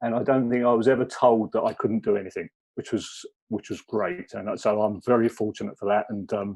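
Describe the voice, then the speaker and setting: In a southern English accent, a man speaks fairly quickly at medium pitch with fairly even intonation, the sound dry and close with no echo. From southern England (Kent). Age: 60s. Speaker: former police officer, wellbeing consultant. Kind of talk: personal talk at webinar. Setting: video call webinar. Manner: hesitant.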